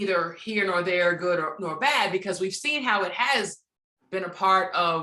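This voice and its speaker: A woman speaks fairly slowly at a medium pitch with ordinary pitch variation. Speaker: radio host. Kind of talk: interview answer. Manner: soft-spoken, direct; positive, encouraging.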